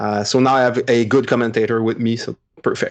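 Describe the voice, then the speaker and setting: At a moderate pace, a man talks with a French Canadian accent. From Quebec, Montreal. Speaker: podcaster, tabletop gamer. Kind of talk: casual chat.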